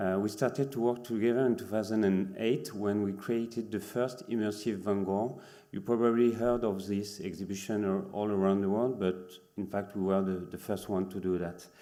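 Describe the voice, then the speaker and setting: A man with a French accent speaks at a moderate pace, with a fairly low pitch and fairly even intonation. Noticeable background noise and audible room echo are present. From France. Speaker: immersive exhibition producer. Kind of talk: conference presentation. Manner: halting.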